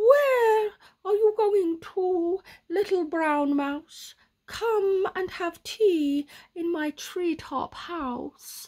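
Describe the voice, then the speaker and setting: A woman's put-on character voice, extremely high-pitched and very slow. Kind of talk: bedtime story. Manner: inviting, then startled hooting.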